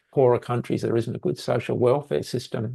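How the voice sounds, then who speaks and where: With a dark, mellow tone and vocal fry, a man speaks very fast in a medium-pitched voice with ordinary pitch variation. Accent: Australian. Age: 70s. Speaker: mental health researcher. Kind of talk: interview.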